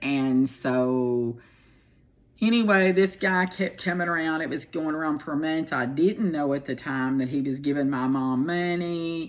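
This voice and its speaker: Her very deep, low pitch moves with ordinary variation as the woman speaks at a fairly slow pace. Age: 60s. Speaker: storyteller. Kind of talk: personal life story monologue. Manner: casual, halting with many fillers.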